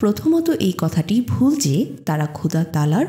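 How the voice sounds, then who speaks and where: A woman speaks in a calm, soothing tone. Her pitch swings very widely. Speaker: audiobook narrator. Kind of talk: reading aloud.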